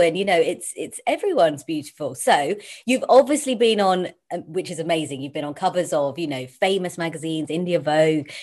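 Using an ordinary speaking voice, a woman talks at a fairly quick pace, her fairly low pitch carried by lively intonation. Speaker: interviewer.

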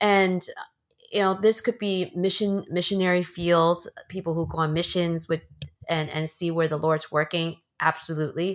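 A woman with an unremarkable speaking voice and an American accent, fairly low pitch, fairly even intonation, and a moderate pace. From China, then Bay Area California. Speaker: podcast co-host, mom. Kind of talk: casual conversational podcast, faith testimony.

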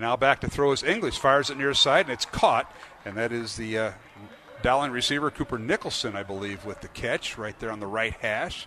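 A man with a plain, everyday voice, ordinary pitch variation and a fairly quick pace. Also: medium pitch for a man. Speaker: radio play-by-play announcer. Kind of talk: live sports commentary. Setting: stadium broadcast. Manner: rapid play-by-play delivery, rising and excited on touchdowns; fluent, upbeat, with frequent 'uh' fillers.

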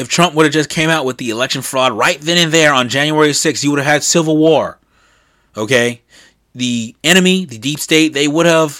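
Heard in a very clean recording with a silent background, a man with an American accent speaks in a bright, sharp tone at a fairly high pitch, using ordinary pitch variation at a moderate pace. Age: 20s. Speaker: podcast host. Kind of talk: solo political news commentary. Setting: sitting at a desk recording.

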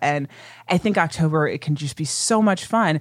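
An American-accented woman's fairly low voice at a moderate pace, with ordinary pitch variation, in a very clean recording with a silent background. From US Midwest, Ohio. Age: 30s. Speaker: podcast host. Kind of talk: casual chat. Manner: animated.

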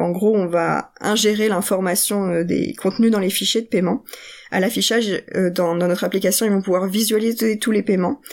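A woman with a normal speaking voice at medium pitch, fairly even intonation and a moderate pace, on a very clean recording with a silent background. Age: young. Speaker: product owner in finance tech. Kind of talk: interview.

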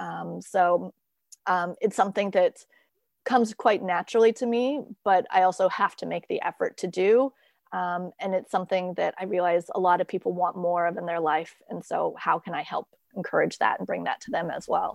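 Against a quiet background, a woman with a General American accent speaks at a moderate pace, the sound dry and close with no echo. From US, moved around (Virginia, Minnesota, Kansas, Idaho). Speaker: creativity coach and blogger. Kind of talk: interview conversation. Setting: remote call from home.

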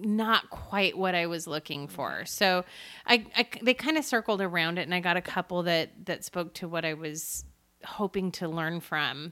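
In a very clean recording with a silent background, a woman with an American accent and a fairly low, bright, sharp voice speaks at a moderate pace with ordinary pitch variation. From US Pacific Northwest (Seattle area). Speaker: podcast host. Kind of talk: casual chat. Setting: in person, recording together.

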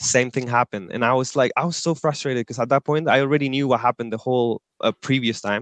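In a Spanish accent, a man speaks at a very fast pace with hardly any pauses, at a medium pitch. His intonation is fairly even, and the sound is dry and close with no echo. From northern Chile, Antofagasta. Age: 20s. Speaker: management consultant. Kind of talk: interview.

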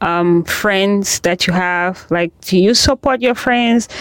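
Using an unremarkable speaking voice, a woman talks at a medium pitch, her pitch varying in an ordinary way. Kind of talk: casual chat.

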